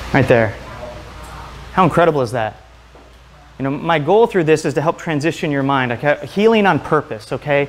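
Lively intonation and a fairly quick pace over light background noise. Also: man, fairly high pitch for a man. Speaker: chiropractor and health speaker. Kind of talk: lecture. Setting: stage with audience. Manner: fast talker when excited. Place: home room.

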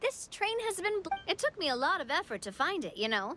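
Over faint background music, a woman puts on a character voice, extremely high-pitched with big swings and a bright, sharp tone. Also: fairly quick pace.

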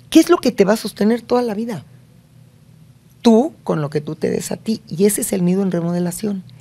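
Her tone is dark and mellow, somewhat breathy, with lively intonation. The woman moves at a fairly quick pace yet takes long, frequent pauses. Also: medium pitch for a woman. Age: 60s. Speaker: family expert and psychologist; guest. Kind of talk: interview. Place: studio. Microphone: studio mic.

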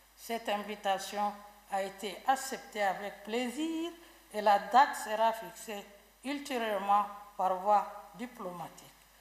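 A woman speaking at a very slow pace, with ordinary pitch variation and audible room echo. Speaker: government minister. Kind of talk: reading an official statement. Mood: formal, measured, official. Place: hall. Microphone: podium.

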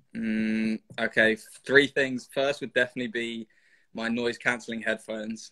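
A man speaks in a London accent with a bright, sharp tone. His intonation is flat and monotone, and his pace is moderate. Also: medium pitch for a man, quiet background. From London, England. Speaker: rugby player. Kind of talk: casual interview. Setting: video call. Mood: relaxed, smiling. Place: home room. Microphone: video call.

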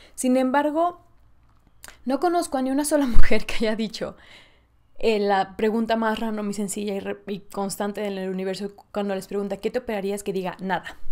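At a moderate pace, a woman talks in an animated tone with a fairly high pitch, ordinary pitch variation and big swings in loudness. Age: 20s. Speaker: podcast host. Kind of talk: casual solo monologue. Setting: solo in front of camera and mic. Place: home room.

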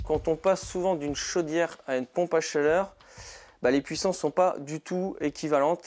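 A man at a fairly quick pace with fairly even intonation, against a quiet background. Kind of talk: tutorial. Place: garage. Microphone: lapel.

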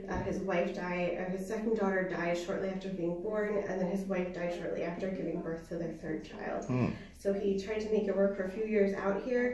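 Room echo is audible, along with light background noise. A woman talks at a fairly quick pace with fairly even intonation. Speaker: museum guide. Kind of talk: guided tour explanation. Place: home room.

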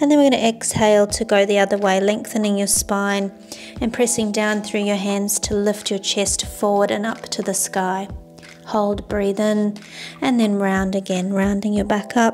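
Faint music plays in the background as a woman talks at a moderate pace in a monotone, flat intonation. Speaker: yoga instructor. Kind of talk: guided exercise instruction. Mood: calm, soothing.

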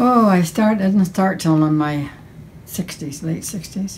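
A woman with vocal fry speaks at a moderate pace with ordinary pitch variation and light background noise. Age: 80s+. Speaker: painter. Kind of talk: interview answer. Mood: warm, fond. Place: home room.

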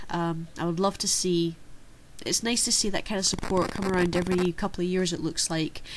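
Over light background noise, a woman speaks at a fairly low pitch with monotone, flat intonation. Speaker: card game channel host. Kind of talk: casual Q&A vlog answer.

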